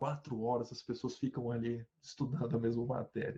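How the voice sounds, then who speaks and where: At a moderate pace, a man speaks in a dark, mellow, somewhat breathy tone. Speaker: university professor. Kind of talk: lecture. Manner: animated.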